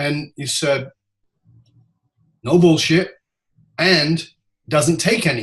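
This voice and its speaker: A man speaks very slowly at a fairly high pitch. He leaves long, frequent pauses. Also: ordinary pitch variation. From UK, moved around widely. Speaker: leadership speaker. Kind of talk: interview. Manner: dynamic.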